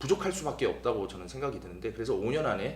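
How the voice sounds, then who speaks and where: Vocal fry runs through a man's very fast speech, with audible room echo. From South Korea, Busan (Gyeongsang). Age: 20s. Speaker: stage actor. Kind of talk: promotional interview.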